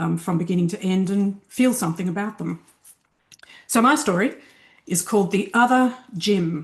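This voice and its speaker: A somewhat breathy woman's voice in an Australian accent, medium in pitch, at a fairly slow pace with ordinary pitch variation, over a quiet background. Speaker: fiction writer. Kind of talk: reading aloud.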